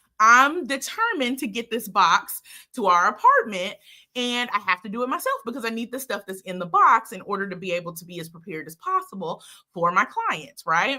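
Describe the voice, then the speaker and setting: A woman's fairly high, energetic voice with very wide pitch swings and big jumps in loudness. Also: fairly quick pace. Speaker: leadership speaker and author. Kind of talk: live talk show to camera. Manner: energetic, chatty, humorous.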